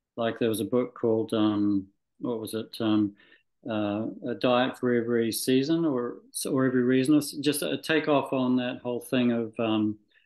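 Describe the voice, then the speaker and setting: This man has a Scottish accent and a medium pitch. He keeps a moderate pace with ordinary pitch variation. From Scotland. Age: 60s. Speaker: medical doctor. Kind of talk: interview. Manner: halting, many fillers and restarts.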